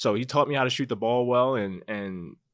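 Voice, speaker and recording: A man speaks at a fairly quick pace with an American accent, his pitch medium and his intonation fairly even. It's an ordinary speaking voice on a very clean recording with a silent background. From Baltimore, US. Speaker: real estate agent, former basketball player. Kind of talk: interview.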